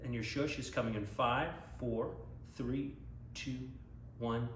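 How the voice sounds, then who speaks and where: Very slowly, a man talks while noticeable background noise carries on. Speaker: Broadway voice coach, actor and singer. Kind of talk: guided vocal warm-up instruction to camera. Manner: encouraging, conversational, instructive.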